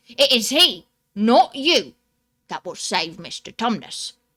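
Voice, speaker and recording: A woman performs a put-on character voice. It is fairly high-pitched and fairly slow. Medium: read story. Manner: hearty, folksy.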